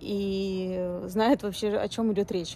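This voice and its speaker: A woman's dark, mellow tone in a dry sound with no echo. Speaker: vlogger. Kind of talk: casual vlog chat. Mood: relaxed, chatty. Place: street. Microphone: phone near.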